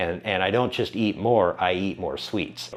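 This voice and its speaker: Fairly quickly, a man talks at a fairly low pitch with fairly even intonation. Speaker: fitness and weight-loss vlogger. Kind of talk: casual vlog monologue. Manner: rambling, many fillers and restarts.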